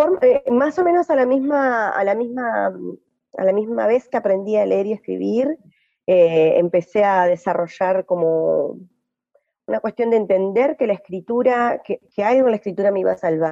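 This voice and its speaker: Dark and mellow in tone, a woman speaks at a medium pitch and a moderate pace with lively intonation. The sound is dry and close, with no echo. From Argentina, Entre Ríos (Gualeguay). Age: 40s. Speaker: poet and activist. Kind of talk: interview. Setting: radio studio. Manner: halting, with many repetitions and fillers.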